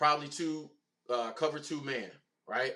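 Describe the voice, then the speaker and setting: A man's voice, fairly high in pitch. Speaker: football YouTube commentator. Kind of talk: casual video commentary.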